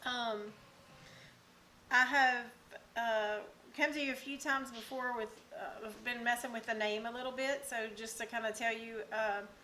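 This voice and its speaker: With a Southern US accent, a woman speaks in a fairly high pitch and fairly even intonation. She leaves long, frequent pauses. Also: moderate pace. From US South. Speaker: cooking channel host. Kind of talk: cooking tutorial. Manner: casual, with many fillers (um, uh).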